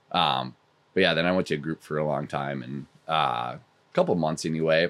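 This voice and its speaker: A man speaks in a very deep, low pitch with vocal fry. His intonation stays fairly even. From rural US. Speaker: fitness club salesman, recovering addict. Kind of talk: interview testimony.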